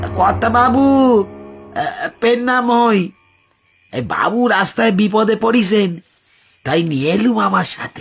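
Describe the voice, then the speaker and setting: A man puts on a husky, wheezy character voice at a high pitch and a fairly slow pace, with faint music in the background. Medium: cartoon. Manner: deferential, polite.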